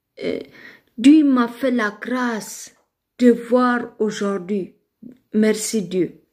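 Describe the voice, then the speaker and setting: A woman's fairly high voice with an Ethiopian accent, at a very slow pace with long, frequent pauses. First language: Amharic (speaking French). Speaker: online live streamer. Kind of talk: religious testimony in a live video. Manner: halting, with fillers and repetitions.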